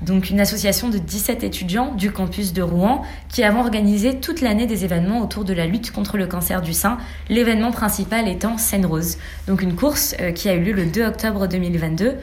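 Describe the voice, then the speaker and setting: A woman's medium-pitched, fairly quick speech with audible room echo and noticeable background noise. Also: ordinary pitch variation. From Senegal. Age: 20s. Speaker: student. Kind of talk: interview.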